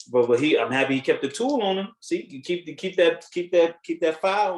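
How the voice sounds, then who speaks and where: Talking at a fairly quick pace, a high-pitched man uses lively intonation and big swings in loudness. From United States. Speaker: podcast co-host. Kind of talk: casual chat.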